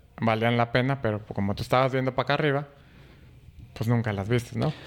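A man speaks in a Mexican accent. His pitch is medium. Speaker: groom-to-be, brother of host. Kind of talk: casual chat.

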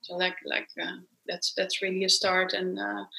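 A woman with a Dutch accent speaks at a moderate pace. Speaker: self-love coach and author. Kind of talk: interview.

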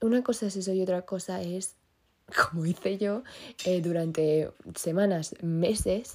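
Her dark, mellow tone set at a medium pitch, a woman speaks at a fairly slow pace with fairly even intonation. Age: young. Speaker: podcast host. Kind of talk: casual monologue. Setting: bedroom in the countryside.

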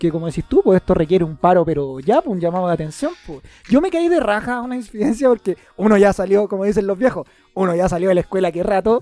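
With a Chilean accent, a man talks at a very fast pace and high pitch in an animated tone with lively intonation, recorded with a dry, close sound and no echo. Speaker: podcast host. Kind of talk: casual chat.

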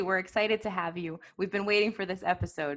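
A woman with an unremarkable speaking voice, medium pitch and ordinary pitch variation, with an American accent. The recording is very clean, with a silent background. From US. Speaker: podcast host. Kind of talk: interview, polished intro.

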